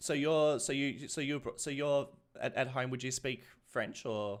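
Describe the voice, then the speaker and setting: This man speaks with an Australian accent. His pitch is fairly high. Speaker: gaming streamer. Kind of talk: live stream chat. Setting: live stream.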